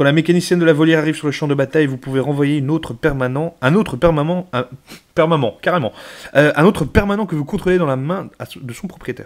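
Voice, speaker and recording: A man's fairly high voice moves very quickly, its pitch varying in an ordinary way. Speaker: YouTuber, card collector. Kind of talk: card booster opening, reading cards aloud. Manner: casual; halting, stumbling over words.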